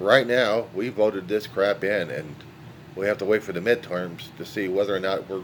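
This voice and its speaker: Speaking at a moderate pace with a fairly low pitch, a man is heard over noticeable background noise. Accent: American. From California. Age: 60s. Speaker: vlogger. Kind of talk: monologue. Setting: holding a dog. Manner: halting.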